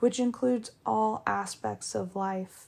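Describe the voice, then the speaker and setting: A dark, mellow tone on a very clean recording with a silent background. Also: woman. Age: 20s. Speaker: podcast host. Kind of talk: lecture; casual chat. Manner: animated.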